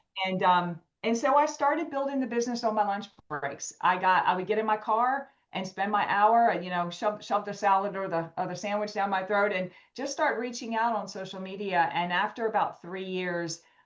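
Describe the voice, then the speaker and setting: She has an unremarkable speaking voice, a woman at medium pitch with ordinary pitch variation, going at a moderate pace. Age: 50s. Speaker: wellness coach. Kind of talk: interview.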